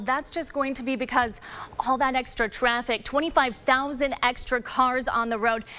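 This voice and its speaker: A high-pitched woman talks at a moderate speed with ordinary pitch movement, clear background noise behind her. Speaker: TV news anchor and reporter. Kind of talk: live traffic reporting from the field.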